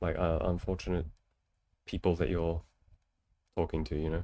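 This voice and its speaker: A man talks at a fairly quick pace with a dark, mellow tone that sounds relaxed. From Australia, New South Wales (near Newcastle). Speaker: streamer giving relationship advice. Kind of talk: casual live-stream chat, answering viewer questions. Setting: live stream, reading chat. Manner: casual, relaxed with filler words.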